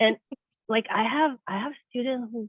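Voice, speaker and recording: A woman with ordinary pitch variation. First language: not English. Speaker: neuroscientist turned project manager. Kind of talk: career interview. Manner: halting.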